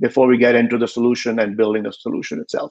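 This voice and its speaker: A man talks at a medium pitch. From India. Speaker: tech company founder and CEO. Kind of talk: interview.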